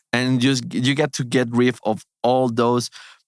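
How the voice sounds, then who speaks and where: Recorded very cleanly with a silent background and a dry, close sound with no echo, a man at medium pitch speaks with a non-native accent. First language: Spanish. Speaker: surgeon, gut health doctor. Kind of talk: interview conversation. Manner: halting.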